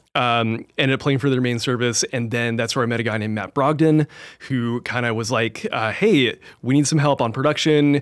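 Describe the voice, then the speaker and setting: With an unremarkable speaking voice, a man talks at a fairly quick pace and medium pitch, his intonation fairly even, on a very clean recording with a silent background. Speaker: church tech director, audio trainer. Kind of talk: casual interview chat. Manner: relaxed, conversational, uses filler words.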